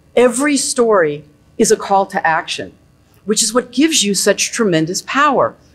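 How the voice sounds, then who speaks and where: At a moderate pace, a woman talks with a quiet background behind her. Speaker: guest speaker on storytelling for writers. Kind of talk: energetic, enthusiastic lecture to an audience. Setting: stage. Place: hall.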